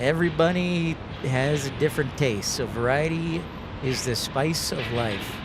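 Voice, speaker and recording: This man has a fairly high pitch and ordinary pitch variation, with a Chicago accent. Audible room echo and noticeable background noise fill the recording. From Chicago area, US Midwest. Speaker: plane spotting live streamer. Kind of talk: live commentary. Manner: casual, conversational.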